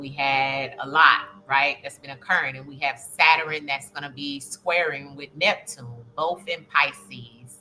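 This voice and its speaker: There is noticeable background noise as a woman speaks at a fairly slow pace with a very deep, low pitch. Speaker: spiritual reader, astrology channel host. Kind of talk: casual spiritual reading monologue. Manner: hesitant, many filler ums.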